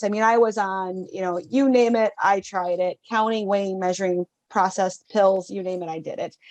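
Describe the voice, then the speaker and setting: A woman speaks with a Wisconsin accent. Her pace is moderate, and she hardly pauses. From northern Wisconsin. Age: 60s. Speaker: mindset coach. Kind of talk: interview.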